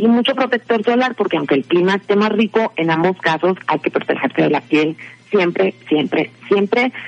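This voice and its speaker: A woman speaks at a moderate pace and medium pitch with lively intonation and very even loudness, the sound dry and close with no echo despite noticeable background noise. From Mexico. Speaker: podcast segment presenter. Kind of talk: casual chat.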